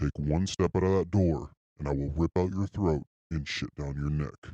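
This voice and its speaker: A man's very deep, low, put-on character voice in a dry, close sound with no echo. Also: moderate pace. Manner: menacing, horror-style.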